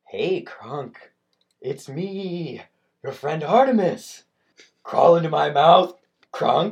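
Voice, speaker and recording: Using a put-on character voice at a middle pitch, the speaker goes very slowly with long, frequent pauses. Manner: wheedling, eerie.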